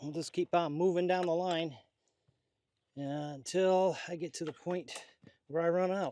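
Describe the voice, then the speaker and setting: A man speaks with a high pitch and a dark, mellow tone, his intonation fairly even. The sound is dry and close with no echo, and his long pauses come often. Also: moderate pace. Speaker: ham radio hobbyist. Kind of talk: DIY vlog narration. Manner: casual, conversational.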